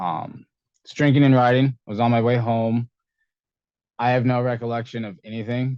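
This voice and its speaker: At a moderate pace, a man with a medium pitch speaks in fairly even intonation, taking long, frequent pauses and swinging widely in loudness. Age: 20s. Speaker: para-athlete ultrarunner. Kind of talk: interview.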